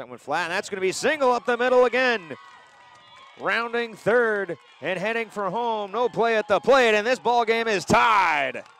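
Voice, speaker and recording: A man's high-pitched voice, ordinary pitch variation, moderate pace and a dry sound with no echo. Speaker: baseball play-by-play announcer. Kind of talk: live sports commentary, play-by-play. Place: stadium.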